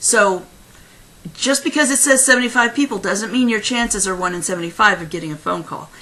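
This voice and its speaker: A woman's fairly high voice, fairly quick, with lively intonation and big swings in loudness, over noticeable background noise. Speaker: career consultant. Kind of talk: tutorial. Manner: fast.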